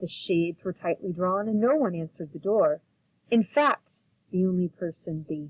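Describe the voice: With ordinary pitch variation, the speaker does plain reading aloud while the background stays quiet.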